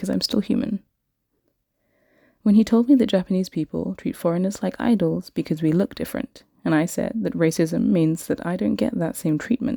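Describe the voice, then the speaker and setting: A woman speaks with a British accent on a very clean recording with a silent background. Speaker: English teacher. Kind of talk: podcast-style story time.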